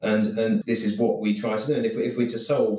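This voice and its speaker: Speaking with a southern English accent, a man talks at a fairly quick pace and medium pitch with ordinary pitch variation. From southern England (Eastbourne, Sussex). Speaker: insurance claims executive. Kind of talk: interview. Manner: frequent repetitions and self-restarts.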